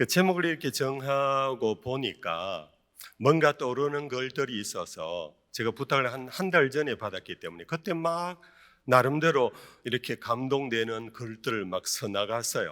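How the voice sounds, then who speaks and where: On a very clean recording with a silent background, the speaker's bright, sharp tone and lively intonation come through at a fairly slow pace. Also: man, medium pitch for a man. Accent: strong Gyeongsang. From South Korea, Daegu (Gyeongsang). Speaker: pastor. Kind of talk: sermon. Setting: church retreat, evening service with audience. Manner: many filler sounds (eo, e).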